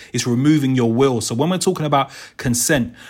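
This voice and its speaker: With a South London accent, a man speaks at a medium pitch with ordinary pitch variation while music plays in the background. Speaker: youth worker and perpetrator program facilitator. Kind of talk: casual chat.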